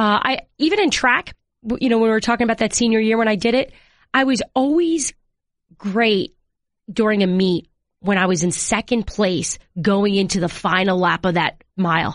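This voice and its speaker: Over a quiet background, a woman with an unremarkable speaking voice talks at a moderate pace with lively intonation, the sound dry and close with no echo. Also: fairly high pitch for a woman. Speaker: sports reporter. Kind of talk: casual interview chat.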